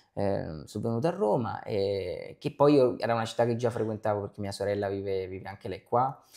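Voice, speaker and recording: Over a quiet background, a man with a fairly low pitch and a dark, mellow tone talks at a fairly quick pace with ordinary pitch variation and hardly any pauses. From Naples, Italy; Italy. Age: young. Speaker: actor. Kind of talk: interview. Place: home room. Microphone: lapel.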